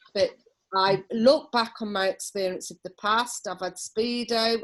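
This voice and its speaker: A woman in an East Midlands accent speaks at a fairly slow pace with fairly even intonation. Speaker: holistic therapist. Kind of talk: interview. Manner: loud.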